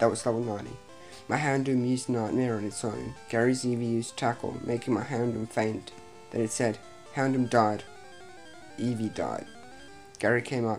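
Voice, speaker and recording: With music in the background, a man speaks at medium pitch and a moderate pace. His intonation is fairly even, broken by long, frequent pauses. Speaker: creepypasta reader. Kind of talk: read horror story narration.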